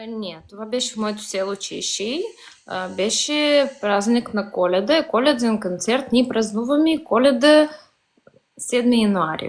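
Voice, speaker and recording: A woman with a Ukrainian accent speaks at a fairly slow pace. Her pitch is fairly high, and her loudness swings widely. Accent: Ukrainian accent in Bulgarian. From Bessarabia, southern Ukraine. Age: young. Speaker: Bessarabian Bulgarian social media user. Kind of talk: casual interview. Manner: halting.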